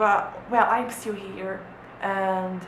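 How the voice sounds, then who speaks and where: With noticeable background noise and audible room echo, a woman of medium pitch speaks in a monotone, flat intonation. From Brazil. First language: Portuguese. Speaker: vlogger, former exchange student. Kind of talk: casual vlog talk to camera. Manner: halting, many repetitions and fillers.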